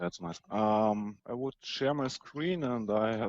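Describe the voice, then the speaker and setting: A man with a German accent speaks at a fairly slow pace and medium pitch, with ordinary pitch variation, in a dry, close sound with no echo. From Germany. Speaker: debate participant. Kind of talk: online debate. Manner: halting.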